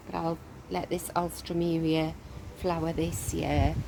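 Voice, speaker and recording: Over noticeable background noise, a soft-spoken woman talks fairly slowly at a fairly low pitch. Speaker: gardening vlogger. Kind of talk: casual garden walkthrough. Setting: outdoors in garden.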